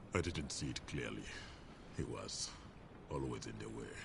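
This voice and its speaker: A put-on character voice comes through at a moderate pace over loud background noise. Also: man. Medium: video game. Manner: formal, polite, defensive.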